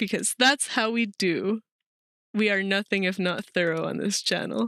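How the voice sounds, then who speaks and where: The voice has a bright, sharp tone and ordinary pitch variation. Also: woman, medium pitch for a woman, dry, close sound with no echo. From Mexican heritage, raised outside Mexico. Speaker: streamer. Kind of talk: casual live-stream commentary. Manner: fast; animated.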